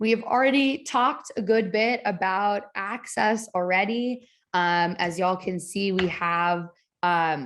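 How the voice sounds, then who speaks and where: This woman has a plain, everyday voice, pitched in the medium range and showing ordinary pitch variation. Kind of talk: webinar presentation.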